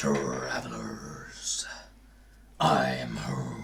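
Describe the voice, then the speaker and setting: A growling, put-on character voice from a man. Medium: actual play. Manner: formal, measured.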